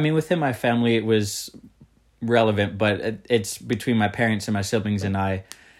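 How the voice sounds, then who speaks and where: In a very clean recording with a silent background, a man speaks with fairly low pitch and fairly even intonation. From US, moved around (Mississippi, Texas, Colorado). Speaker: podcast guest. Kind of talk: casual interview. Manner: hesitant, many fillers.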